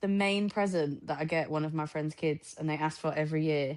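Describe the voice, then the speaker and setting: A woman with a northern English accent, very deep and low in pitch, in a monotone, flat intonation against a quiet background. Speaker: podcast co-host. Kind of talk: casual chat.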